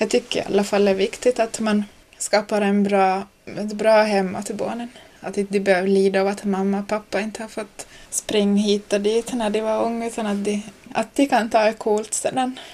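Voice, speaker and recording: A woman speaks at a medium pitch with an Ostrobothnian accent. Her intonation stays flat and monotone. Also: moderate pace. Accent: Ostrobothnian Finland-Swedish. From Ostrobothnia, Finland (Nykarleby). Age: 20s. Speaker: young mother on parental leave. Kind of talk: interview.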